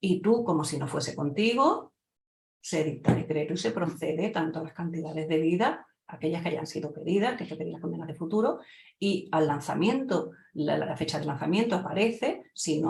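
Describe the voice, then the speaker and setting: Speaking at a fairly quick pace with an Andalusian accent, a woman uses a fairly low pitch, an animated tone and ordinary pitch variation. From Andalusia, Spain. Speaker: lawyer and exam-prep teacher. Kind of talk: lecture. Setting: online event talk. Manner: fast.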